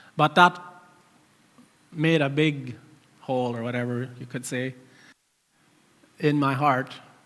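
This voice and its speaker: With a non-native accent, a man speaks at a fairly slow pace with ordinary pitch variation. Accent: noticeable foreign accent in English. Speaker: church member sharing testimony. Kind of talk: testimony. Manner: halting.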